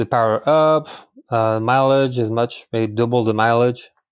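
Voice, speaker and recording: On a very clean recording with a silent background, a man of medium pitch speaks in a monotone, flat way with a French accent. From France. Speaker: diesel engine builder and race driver. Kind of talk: interview podcast.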